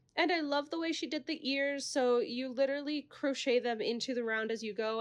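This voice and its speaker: A woman at a fairly quick pace, ordinary pitch variation, quiet background. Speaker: crochet small business owner. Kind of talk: casual craft vlog. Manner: fast.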